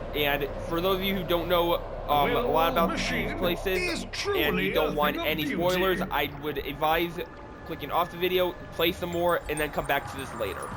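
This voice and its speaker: Music plays behind a man whose high-pitched voice, moderate in pace and fairly even in intonation, carries audible room echo. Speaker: gaming video creator. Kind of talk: gameplay tutorial. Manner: casual.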